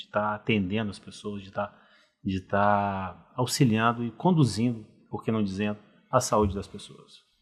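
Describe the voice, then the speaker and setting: Recorded very cleanly against a silent background, a man with an ordinary speaking voice talks at a moderate pace, fairly low in pitch, with ordinary pitch variation. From Brazil, Rio de Janeiro. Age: 50s. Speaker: cardiologist. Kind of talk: podcast interview.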